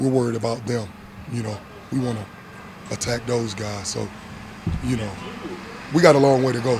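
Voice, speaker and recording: In a Southern US accent, a man talks at a fairly quick pace with long, frequent pauses and fairly even intonation. Noticeable background noise and audible room echo are present. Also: medium pitch for a man. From US South, South Georgia. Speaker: football coach. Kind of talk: press conference. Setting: media availability after practice.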